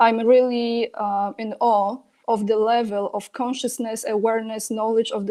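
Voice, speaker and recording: A woman with a Polish accent, a fairly high pitch, a dark, mellow tone and monotone, flat intonation, over a quiet background. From Poland. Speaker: political commentator. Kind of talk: interview.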